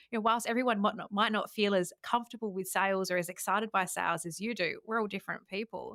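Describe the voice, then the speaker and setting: In an Adelaide Australian accent, a woman at medium pitch speaks at a very fast pace with hardly any pauses, in a dry, close sound with no echo. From Australia, Adelaide. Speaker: podcast host. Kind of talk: interview conversation. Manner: animated.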